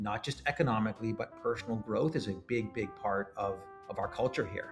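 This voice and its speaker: A man talks at a fairly quick pace with medium pitch and ordinary pitch variation. Music plays in the background. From Montreal, Canada. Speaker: startup founder and CEO. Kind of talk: podcast interview answer.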